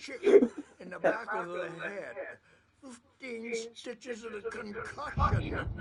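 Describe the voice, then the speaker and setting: This is a put-on character voice. The delivery moves at a fairly slow pace. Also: man, extremely high pitch for a man. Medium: video game. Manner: rambling, cackling.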